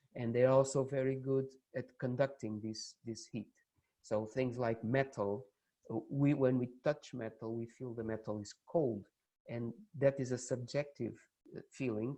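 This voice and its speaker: A man with a Portuguese accent speaks in a dark, mellow tone at a fairly slow pace. His medium pitch has fairly even intonation. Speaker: university lecturer. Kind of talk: lecture. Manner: halting.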